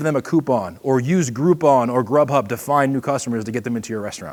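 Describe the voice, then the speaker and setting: At a fairly quick pace, a man talks with a slight Boston accent and lively intonation. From Boston area, US. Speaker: seminar presenter, marketing consultant and podcaster. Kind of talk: seminar talk. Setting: stage with audience at an expo. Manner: fast.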